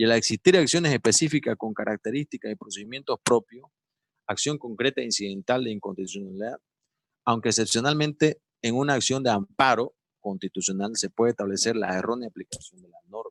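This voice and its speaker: A man with a normal speaking voice talks at a fairly quick pace, his loudness swinging widely and his pitch varying in an ordinary way, in a dry, close sound with no echo. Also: medium pitch for a man. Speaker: lawyer giving a seminar. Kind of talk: lecture.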